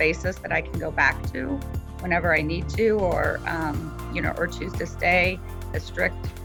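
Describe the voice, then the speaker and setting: Music plays in the background while a woman talks. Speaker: weight loss client. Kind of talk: testimonial interview answer.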